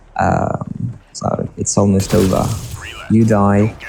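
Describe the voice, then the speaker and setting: A man's voice comes with noticeable background noise behind it. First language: French. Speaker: gaming YouTuber. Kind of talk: live gameplay commentary. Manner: halting, many fillers.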